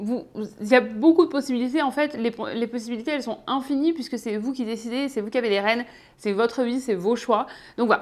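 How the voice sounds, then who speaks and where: Her high voice, a woman's, moves in pitch by an ordinary amount. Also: fairly quick pace, very clean recording, silent background. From southeastern France, Ardèche. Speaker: YouTuber / expat vlogger. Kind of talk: casual vlog talk to camera. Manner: hesitant, many filler 'euh'.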